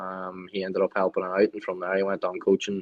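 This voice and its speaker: With a Donegal accent, a man speaks at a fairly low pitch and a fairly quick pace. His intonation is monotone and flat. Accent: Donegal Irish. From Ireland, County Donegal. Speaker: former footballer and country singer. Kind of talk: interview.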